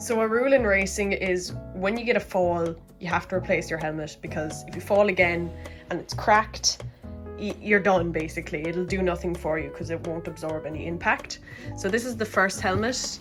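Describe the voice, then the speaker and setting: The speaker talks at a fairly quick pace. Music can be heard in the background. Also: woman. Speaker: jockey. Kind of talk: animated storytime narration.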